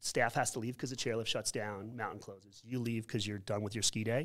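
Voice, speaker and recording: A man with an unremarkable speaking voice talks at medium pitch and a fairly quick pace. The recording is very clean, with a silent background. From New York. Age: 50s. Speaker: school principal. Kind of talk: casual interview conversation.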